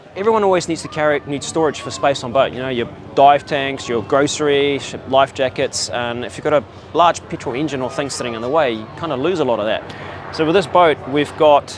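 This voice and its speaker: Over noticeable background noise, a man speaks at a fairly quick pace. His pitch varies in an ordinary way, and the sound is dry with no echo. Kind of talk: interview answer. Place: market. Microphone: lapel.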